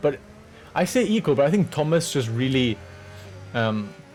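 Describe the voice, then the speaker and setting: This man has a medium pitch and lively intonation. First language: French. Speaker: sim racing driver and video commentator. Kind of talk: commentary over race highlights. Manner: casual, hesitant with fillers.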